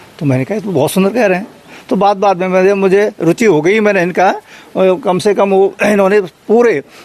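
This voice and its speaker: Over noticeable background noise, a man with a high voice talks at a moderate pace. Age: 60s. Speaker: devotee, former village priest. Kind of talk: interview.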